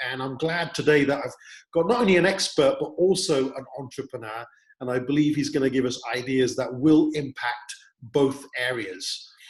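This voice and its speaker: A plain, everyday voice, a man's, pitched fairly high, moves at a moderate pace with ordinary pitch variation. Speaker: interview host. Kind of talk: show introduction.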